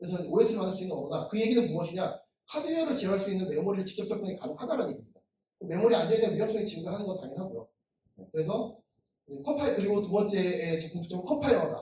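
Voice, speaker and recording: Delivery comes at a very fast pace with lively intonation. Loudness swings widely. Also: man, high pitch for a man. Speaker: software developer and conference speaker. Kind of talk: technical conference talk. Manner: halting, many fillers.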